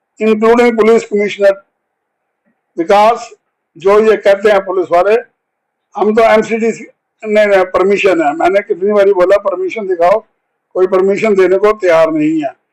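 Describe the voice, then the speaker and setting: A high-pitched man speaks with long, frequent pauses. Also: ordinary pitch variation. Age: 80s+. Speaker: activist. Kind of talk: interview.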